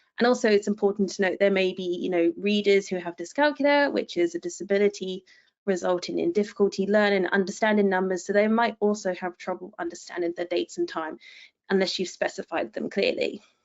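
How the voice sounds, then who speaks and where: Very fast in pace, a woman speaks at a medium pitch with ordinary pitch variation. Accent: English. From England. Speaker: technical writer. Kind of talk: webinar presentation. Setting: online webinar.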